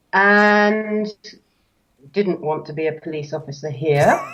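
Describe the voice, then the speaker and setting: Music plays behind a woman speaking at a fairly slow pace. She leaves long, frequent pauses and her loudness swings widely. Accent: British. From United Kingdom. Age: 50s. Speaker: amateur golfer, transcriber. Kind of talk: casual chat. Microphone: internet connection problems.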